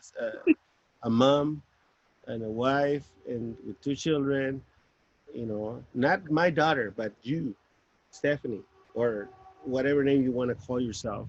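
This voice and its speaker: A man with a Spanish accent speaks at a fairly slow pace with ordinary pitch variation. He takes long, frequent pauses. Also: medium pitch for a man. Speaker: father and grandfather. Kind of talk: casual family chat.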